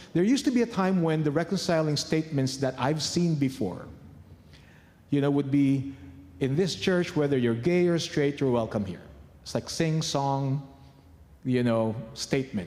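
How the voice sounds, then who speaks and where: Here a man talks at a moderate pace, his pitch fairly high and his tone dark and mellow. Long pauses come often. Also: ordinary pitch variation. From Philippines. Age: 50s. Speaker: church leader. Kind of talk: conference talk.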